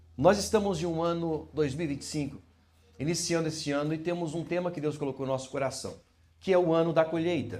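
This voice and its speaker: Very fast, fairly high-pitched man's voice with fairly even intonation and audible room echo. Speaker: pastor. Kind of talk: sermon. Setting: church.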